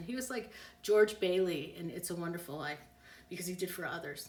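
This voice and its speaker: Over noticeable background noise and audible room echo, a woman speaks at a fairly quick pace in an animated tone with ordinary pitch variation. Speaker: psychic. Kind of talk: live stream reading answering viewer questions. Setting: Instagram live stream. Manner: fast.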